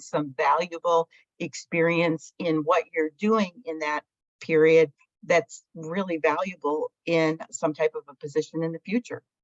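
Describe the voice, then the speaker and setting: A woman with a normal speaking voice, fairly low pitch and a fairly slow pace, in a dry, close sound with no echo. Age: 60s. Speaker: alumni panelist. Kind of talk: panel discussion.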